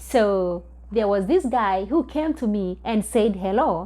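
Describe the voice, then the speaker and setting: A woman with a Kenyan accent speaks at medium pitch and a very slow pace. Her tone is dark and mellow, and the recording is very clean with a silent background. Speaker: vlogger. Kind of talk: storytelling. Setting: recording alone at home.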